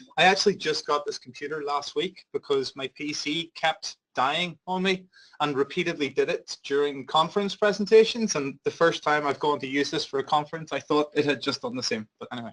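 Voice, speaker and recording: A man with a Northern Irish accent talks fairly quickly and at a fairly high pitch with hardly any pauses and ordinary pitch variation, the sound dry and close with no echo. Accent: Northern Irish (Belfast). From Northern Ireland, Belfast. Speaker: big data company health lead, biologist. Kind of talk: conference presentation. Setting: conference seminar with audience. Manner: loud; fast.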